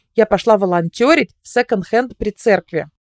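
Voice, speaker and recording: A woman's fairly high-pitched, unremarkable speaking voice at a moderate pace, ordinary pitch variation, dry, close sound with no echo, very clean recording over a silent background. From Russia. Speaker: tour guide and blogger. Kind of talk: casual interview conversation.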